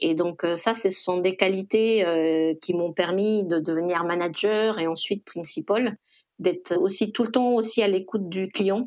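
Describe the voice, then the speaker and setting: At a fairly slow pace, a woman talks with ordinary pitch variation in an ordinary speaking voice. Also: medium pitch for a woman. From Costa Rica. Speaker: e-commerce executive. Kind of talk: interview.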